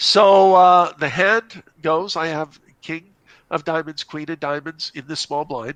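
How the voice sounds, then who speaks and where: A man with a slight Canadian accent and a fairly high pitch, at a fairly slow pace with ordinary pitch variation, in a dry, close sound with no echo and a quiet background. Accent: slight Canadian twang. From Canada. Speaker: poker player, caller. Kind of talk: hand discussion.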